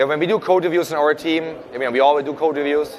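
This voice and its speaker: Someone speaks very fast in a German accent with fairly even intonation over noticeable background noise. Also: man. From Germany. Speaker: software program manager. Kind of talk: panel interview. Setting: live event recording.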